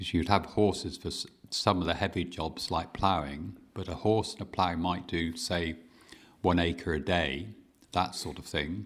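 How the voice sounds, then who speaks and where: This man has a very deep, low pitch and a Dorset accent, with vocal fry and a moderate pace. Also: ordinary pitch variation. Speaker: farmer. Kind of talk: oral history interview answer.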